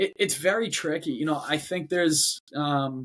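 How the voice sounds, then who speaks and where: In a very clean recording with a silent background, a man speaks with a Boston accent. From Boston, Massachusetts. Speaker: robotics company CEO. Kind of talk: podcast interview. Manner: halting, with many repetitions and fillers.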